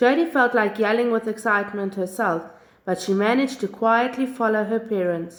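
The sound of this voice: With ordinary pitch variation, the passage is delivered in an unforced reading voice.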